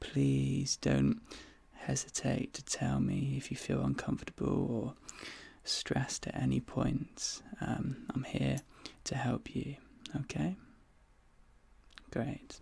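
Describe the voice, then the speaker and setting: Whispering in a British accent, with a calm tone, a fairly slow pace and long, frequent pauses. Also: man. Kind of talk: ASMR roleplay. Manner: soft-spoken, calm.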